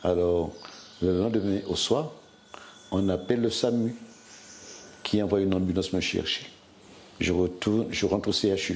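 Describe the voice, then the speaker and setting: A man talks at a fairly low pitch and fairly slow pace, with ordinary pitch variation. Noticeable background noise runs behind him. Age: 60s. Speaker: hospital worker and former covid patient. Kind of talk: testimony. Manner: halting.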